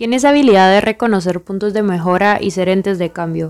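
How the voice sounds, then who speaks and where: A woman at medium pitch with a Guatemalan accent and fairly even intonation, in a very clean recording with a silent background. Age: 20s. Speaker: podcast host, engineering student. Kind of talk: podcast monologue.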